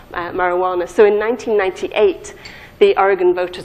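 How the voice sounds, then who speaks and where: Speaking with a northern English accent, a woman talks at a fairly quick pace in a medium pitch with fairly even intonation over noticeable background noise. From northern England. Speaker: pharmacology professor. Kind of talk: lecture. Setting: conference stage with audience. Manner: halting, many fillers and repeats.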